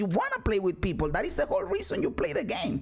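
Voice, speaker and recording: With noticeable background noise behind him, a man speaks at a fairly quick pace in a Spanish accent. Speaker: gaming streamer. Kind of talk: video reaction commentary. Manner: animated; halting.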